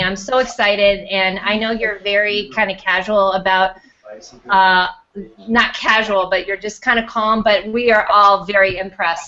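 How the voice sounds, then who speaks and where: A woman speaks with an American accent and ordinary pitch variation. There is noticeable background noise. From US Midwest. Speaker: talk show host. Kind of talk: casual chat. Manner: loud; animated.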